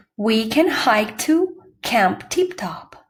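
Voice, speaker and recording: A woman uses a put-on character voice with a calm, warm tone. Her fairly high pitch makes very wide swings. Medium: read story.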